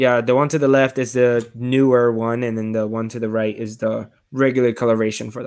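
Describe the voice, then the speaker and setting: On a very clean recording with a silent background, a man speaks at a fairly quick pace with hardly any pauses. His intonation stays monotone and flat. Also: medium pitch for a man. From Puerto Rico. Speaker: reptile and alligator handler. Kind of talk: casual chat.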